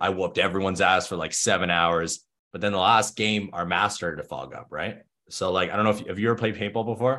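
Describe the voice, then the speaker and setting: A man with a Canadian accent speaks at a very fast pace, his pitch fairly low. His tone is bright and sharp, with fairly even intonation. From Thunder Bay, Ontario, Canada. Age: 20s. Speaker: fitness and business coach. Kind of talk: casual interview chat.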